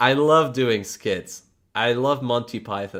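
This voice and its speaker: Lively intonation carries a Polish accent at a fairly slow pace. The recording is very clean, with a silent background. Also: man. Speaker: electric unicycle YouTuber. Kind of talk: casual livestream chat. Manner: casual, halting.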